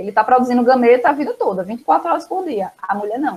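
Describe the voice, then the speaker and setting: Talking at a very fast pace, a woman uses lively intonation and a fairly high voice. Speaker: biology teacher. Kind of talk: online lesson.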